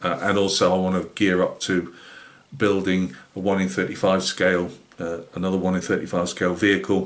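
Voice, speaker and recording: Intonation stays monotone, flat throughout. Delivery moves at a moderate pace. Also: man, very deep, low pitch for a man. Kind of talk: casual vlog chat. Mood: relaxed, reflective. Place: home room. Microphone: webcam.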